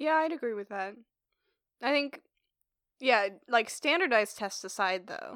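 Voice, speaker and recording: A woman speaks at a fairly slow pace with a fairly high pitch, lively intonation, big swings in loudness, and long, frequent pauses. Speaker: podcast host, physics student. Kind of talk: casual chat. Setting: studio. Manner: talkative.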